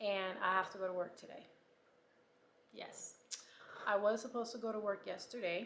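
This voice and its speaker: Audible room echo surrounds a woman of medium pitch with fairly even intonation. She speaks at a moderate pace, with long, frequent pauses. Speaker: vlogger with breast cancer. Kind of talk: casual vlog diary.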